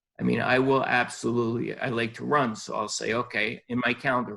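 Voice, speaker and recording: This man speaks at a fairly quick pace. His intonation stays monotone and flat. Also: hardly any pauses. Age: 60s. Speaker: podiatrist, life coach guest. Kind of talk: interview.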